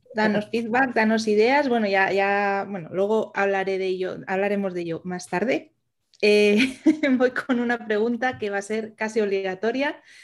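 This woman has a normal speaking voice, pitched at a medium level. She talks at a moderate pace with ordinary pitch variation. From Asturias, Spain. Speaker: podcast co-host, virtual assistant. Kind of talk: casual chat.

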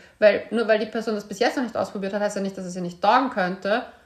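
Speaking at a medium pitch, a woman has an ordinary speaking voice and fairly even intonation. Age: 30s. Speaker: podcast host and author. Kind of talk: casual chat.

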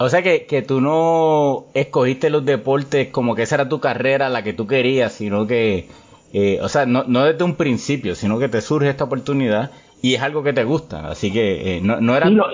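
Here is a man with a plain, everyday voice at a medium pitch. His intonation is lively and his pace fairly quick. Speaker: sports podcast host. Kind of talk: casual interview chat.

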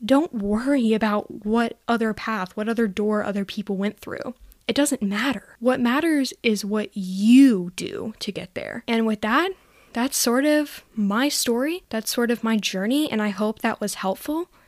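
In a normal speaking voice, someone talks at a fairly slow pace with ordinary pitch variation, on a very clean recording with a silent background and a dry, close sound with no echo. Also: woman, fairly high pitch for a woman. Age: young. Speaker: podcast host. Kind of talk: personal storytelling monologue. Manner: casual, frequent laughter and filler words.

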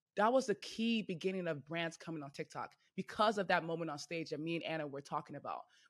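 A woman speaks at a very fast pace in an animated tone. Her pitch swings very widely. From US, Nigerian-American family. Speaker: comedy content creator. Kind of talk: casual interview chat.

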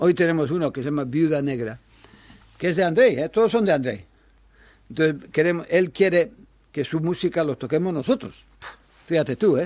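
A fairly high-pitched man at a fairly quick pace, with lively intonation and long, frequent pauses. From Bilbao, Spain; childhood in Japan, Taiwan and the Philippines. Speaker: jazz club founder and amateur trumpet player. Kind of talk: casual interview.

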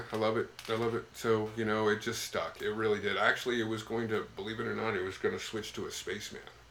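A man speaks at a very fast pace with hardly any pauses. Background noise is noticeable. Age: 50s. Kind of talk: casual chat.

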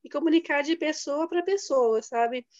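A woman is speaking. The background is quiet. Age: 20s. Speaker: chemical engineering graduate. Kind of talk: interview.

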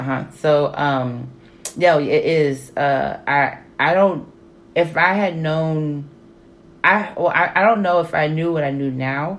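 Speaking very slowly with an American accent, this voice shows ordinary pitch variation against audible room echo. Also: woman, very deep, low pitch for a woman. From Texas. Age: 30s. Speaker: social worker and PhD student. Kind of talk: casual chat.

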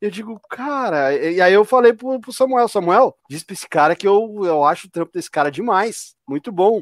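Recorded very cleanly against a silent background, a man with a high pitch and lively intonation sounds dry and close, with no echo. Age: 40s. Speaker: podcast host. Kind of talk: live-streamed casual chat. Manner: animated.

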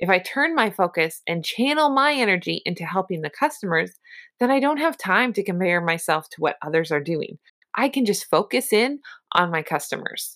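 At a moderate pace, a woman of medium pitch speaks with very wide pitch swings, on a very clean recording with a silent background. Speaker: podcast host and sales coach. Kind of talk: pep talk. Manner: encouraging; personal, conversational.

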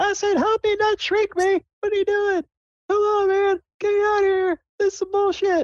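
A put-on character voice at an extremely high pitch, monotone and flat in intonation, at a moderate pace.

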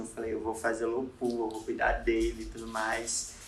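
The room echo around the voice is audible. The speaker is a man. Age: 20s. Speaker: designer. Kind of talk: casual chat. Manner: halting.

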